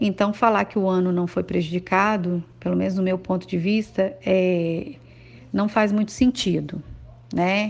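At a fairly slow pace, a woman talks at a medium pitch. Her intonation is fairly even. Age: 40s. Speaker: schoolteacher. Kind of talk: testimony. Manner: hesitant, with filler sounds.

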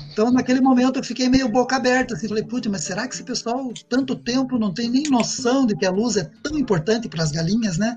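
A man speaks at a fairly quick pace with hardly any pauses, his pitch extremely high and its variation ordinary. Noticeable background noise runs under the recording. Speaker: agronomist and professor. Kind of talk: interview.

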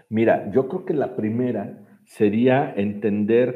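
This man's voice sits at a medium pitch with ordinary pitch variation. He speaks at a very slow pace. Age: 40s. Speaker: executive director of a children's home. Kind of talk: interview. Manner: hesitant, with fillers and repetitions.

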